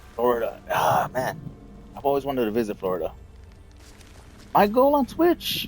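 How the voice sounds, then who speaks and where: A man with an American accent talks at a moderate pace, leaving long, frequent pauses. Music plays in the background. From Texas. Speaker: gaming streamer. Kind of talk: casual chat. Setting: live stream.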